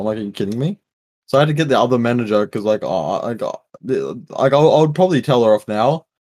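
Speaking at a very fast pace in an Australian accent, a man with a medium pitch makes very wide pitch swings, recorded with a dry, close sound and no echo. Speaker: podcast co-host. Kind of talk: casual chat.

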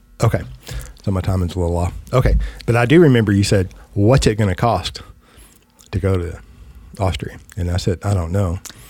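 Somewhat breathy and dark, mellow in tone, a man with a very deep, low pitch speaks with ordinary pitch variation and long, frequent pauses. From West Texas. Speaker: podcast host, financial agent. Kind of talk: casual chat. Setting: studio.

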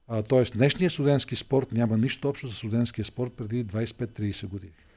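Speaking at a medium pitch, a man sounds dark, mellow and somewhat breathy. His pace is moderate, and his pitch varies in an ordinary way. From Bulgaria, Vidin. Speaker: politician, mayoral candidate. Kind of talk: interview.

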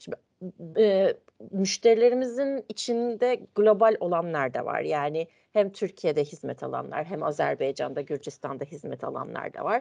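This woman talks at a moderate pace. Her loudness swings widely. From Turkey, Ankara. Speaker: internal control manager. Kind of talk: interview. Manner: hesitant, many fillers.

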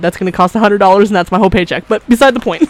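At a very fast pace, a woman of medium pitch speaks in an animated tone, recorded dry and close with no echo, with noticeable background noise. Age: 20s. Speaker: podcast host. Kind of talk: casual chat.

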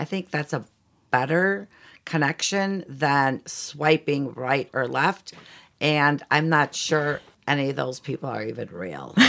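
Vocal fry and lively intonation with an American accent, at a fairly slow pace, on a very clean recording with a silent background. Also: woman, very deep, low pitch for a woman. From Chicago, US Midwest. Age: 60s. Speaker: interior designer. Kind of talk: casual interview chat.

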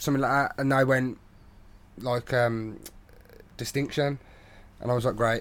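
The man's intonation is monotone and flat, at a medium pitch and a moderate pace, with very even loudness. He leaves long, frequent pauses. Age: 20s. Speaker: podcast host. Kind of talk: casual chat.

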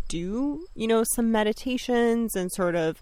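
A plain, everyday voice from a woman with a Canadian accent, medium in pitch, at a fairly slow pace. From Bosnia, raised in Serbia then Canada from age 10. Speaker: astrologer and herbalist. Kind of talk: casual interview chat. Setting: outdoors in a backyard garden.

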